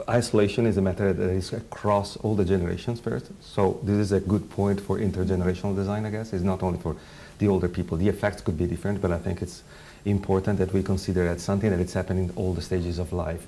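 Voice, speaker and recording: A man with an Italian accent talks very fast in a very deep, low, dark and mellow voice, his intonation fairly even. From Italy. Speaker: design researcher. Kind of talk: panel discussion. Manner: halting.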